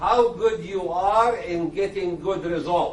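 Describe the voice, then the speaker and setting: Very slow speech with ordinary pitch variation, audible room echo and noticeable background noise. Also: man. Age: 60s. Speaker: dermatologist. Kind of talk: lecture.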